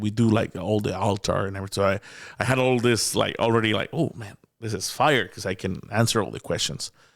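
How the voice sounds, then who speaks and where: A man with a Mexican accent at a very fast pace. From Mexico. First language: Spanish. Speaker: comedian. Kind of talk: casual chat. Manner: animated; stammering repetitions.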